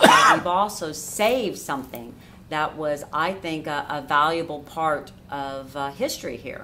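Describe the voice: Speaking with an American accent, a woman has a low pitch and a bright, sharp tone. Her pace is fairly slow, and her intonation is lively.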